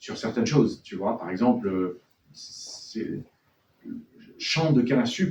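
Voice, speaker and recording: A man talks at a very slow pace with long, frequent pauses and a somewhat breathy voice. His loudness swings a lot, and his pitch swings very widely. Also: medium pitch for a man. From born in France to Chilean and Venezuelan parents, raised abroad in French schools. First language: Spanish (speaking French). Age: young. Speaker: novelist. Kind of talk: bookshop author talk. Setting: bookshop event with audience.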